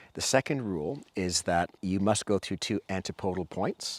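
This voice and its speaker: In a Canadian accent, a man speaks with a very deep, low pitch. The recording is very clean and the background silent. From Canada. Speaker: endurance cyclist. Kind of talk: interview.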